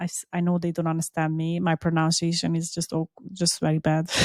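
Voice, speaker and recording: In a very clean recording with a silent background, a woman talks at a fairly quick pace, the sound dry and close with no echo. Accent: Hungarian. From Hungary. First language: Hungarian. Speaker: podcast co-host. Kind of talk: casual chat. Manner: animated.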